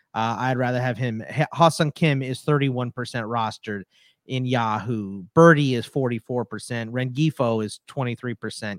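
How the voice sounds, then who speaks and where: On a very clean recording with a silent background, a man speaks in an ordinary speaking voice at a medium pitch. His pace is moderate, his pitch varies in an ordinary way, and the sound is dry and close with no echo. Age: 40s. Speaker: fantasy sports podcaster and author. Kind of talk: casual chat.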